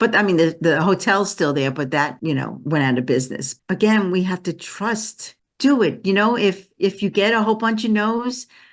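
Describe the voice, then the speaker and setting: With a Brooklyn accent, a woman talks at a medium pitch with lively intonation over a quiet background. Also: moderate pace, hardly any pauses. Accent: New York (Brooklyn). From Brooklyn, New York. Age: 70s. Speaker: energy healer. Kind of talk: interview.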